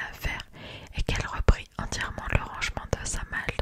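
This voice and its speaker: A woman's whisper, moving at a moderate pace, comes through noticeable background noise. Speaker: ASMR creator. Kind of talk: audiobook reading. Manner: whispered.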